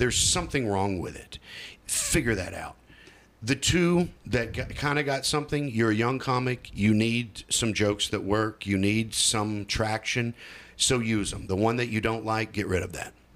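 At a medium pitch and a moderate pace, a man talks in a plain, everyday voice, his pitch shifting in an ordinary way. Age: 40s. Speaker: stand-up comedian. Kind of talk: casual interview.

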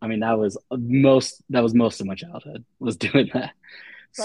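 At a fairly quick pace, a man talks with medium pitch. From Dayton, Ohio, US Midwest. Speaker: freelance illustrator. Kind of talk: casual chat.

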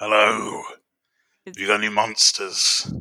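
A man's put-on character voice in a Cockney accent, growling and fairly low-pitched, at a fairly slow pace.

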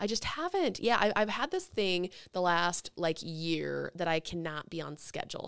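Moderate-paced speech from a woman with an American accent, very cleanly recorded over a silent background. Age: 30s. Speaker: podcast host. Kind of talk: casual chat.

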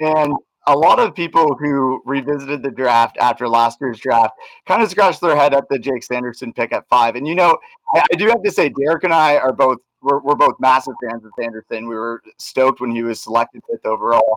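With a normal speaking voice, a man talks at a fairly quick pace and a fairly high pitch with ordinary variation, the sound dry and close with no echo. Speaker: podcast host. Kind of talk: casual podcast interview.

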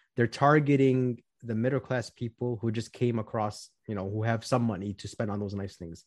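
A man's plain, everyday voice with an American accent, medium in pitch, at a moderate pace with hardly any pauses and fairly even intonation, over a quiet background. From US Midwest, Chicago southwest suburbs. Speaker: financial planner. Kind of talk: casual interview.

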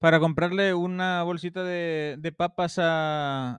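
Against a quiet background, a man with a Mexican accent speaks at a high pitch in a dry, close sound with no echo. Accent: Mexican accent noticeable abroad. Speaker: podcast co-host. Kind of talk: casual chat, storytelling.

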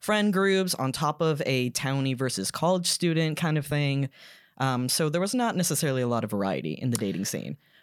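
Here is a man with a plain, everyday voice, pitched fairly high, with lively intonation and very even loudness. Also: fairly quick pace. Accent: American. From US South, Georgia (Gwinnett County, Duluth). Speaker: podcaster and former grad assistant. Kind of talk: casual chat.

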